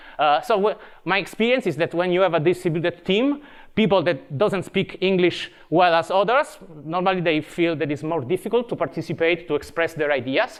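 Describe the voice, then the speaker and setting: Speaking at a fairly quick pace with an Italian accent, a man uses a high pitch over a quiet background. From Italy. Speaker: tech evangelist. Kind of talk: conference talk. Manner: halting.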